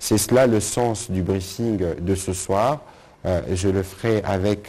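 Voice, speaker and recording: The voice has a dark, mellow tone and fairly even intonation. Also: man. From DR Congo. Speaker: government spokesman. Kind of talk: press conference. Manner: formal. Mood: formal, measured. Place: hall. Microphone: podium.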